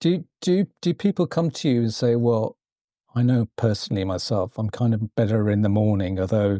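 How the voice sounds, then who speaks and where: A man's dark, mellow tone with lively intonation and very even loudness, in a dry, close sound with no echo on a very clean recording with a silent background. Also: medium pitch for a man, moderate pace. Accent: British. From Britain. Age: 60s. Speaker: podcast host. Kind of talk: podcast interview. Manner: halting, many fillers and repeats.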